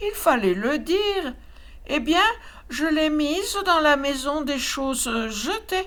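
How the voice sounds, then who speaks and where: Speaking fairly slowly, a woman puts on a high-pitched character voice. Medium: read story. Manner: cooing, chirping.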